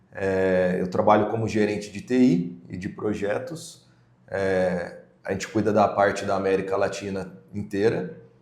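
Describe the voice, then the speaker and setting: A man speaks at a fairly slow pace in a fairly low pitch with ordinary pitch variation, and the room echo is audible. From Brazil, São Paulo state. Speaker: podcast co-host, IT and project manager. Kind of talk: casual podcast introduction. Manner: hesitant, many fillers.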